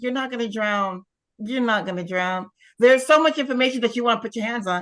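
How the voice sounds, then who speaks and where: An animated voice with lively intonation moves at a fairly quick pace. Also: woman. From US East Coast, Pittsburgh. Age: 60s. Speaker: retired teacher turned real estate investor. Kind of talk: testimony.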